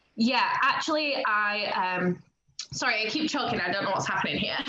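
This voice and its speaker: A woman speaks at a moderate pace with lively intonation and a fairly high pitch, her voice carrying audible room echo over noticeable background noise. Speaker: wealth coach. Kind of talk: interview.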